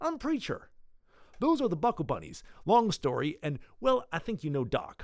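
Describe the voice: In a put-on character voice, a man speaks at a fairly high pitch with very wide pitch swings, vocal fry and a slightly mellow tone, on a very clean recording with a silent background. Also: moderate pace.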